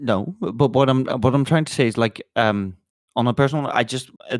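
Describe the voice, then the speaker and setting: Pitch moves in an ordinary way as the words come at a fairly quick pace. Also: man. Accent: non-native. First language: not English. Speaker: podcast co-host. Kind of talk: casual chat. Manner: halting, many fillers and restarts.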